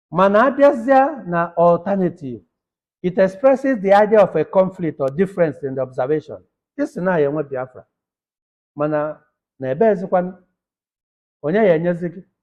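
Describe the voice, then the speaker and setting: A man with a Nigerian accent and a high pitch, at a fairly quick pace with long, frequent pauses, very wide pitch swings and big swings in loudness. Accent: Nigerian Igbo English. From Nigeria, Nteje-Abogu, Anambra State. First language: Igbo. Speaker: academic lecturer. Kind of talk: lecture.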